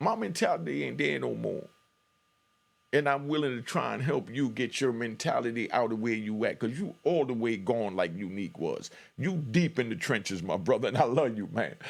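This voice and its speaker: Over a silent background in a very clean recording, a man at a medium pitch speaks with vocal fry and lively intonation. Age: 50s. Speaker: YouTube commentator, former street figure. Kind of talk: reaction commentary monologue. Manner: fast when excited; animated.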